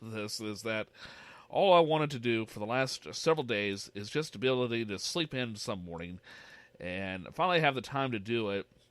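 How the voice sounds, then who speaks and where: A man's medium-pitched voice at a moderate pace, full of very wide pitch swings. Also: long, frequent pauses. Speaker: radio show host. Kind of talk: casual radio talk and commentary. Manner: halting, many fillers.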